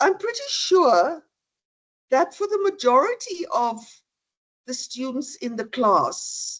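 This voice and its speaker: An extremely high-pitched woman's voice moves in very wide pitch swings. She speaks at a very slow pace with long, frequent pauses. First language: not English. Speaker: law lecturer. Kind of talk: lecture.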